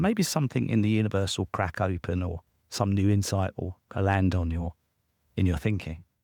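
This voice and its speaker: A man with a British accent talks at a fairly quick pace in a fairly low pitch. The sound is dry and close, without echo. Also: very clean recording, silent background. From southern England, near London. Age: 60s. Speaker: entrepreneur and author. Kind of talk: interview storytelling. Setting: podcast interview.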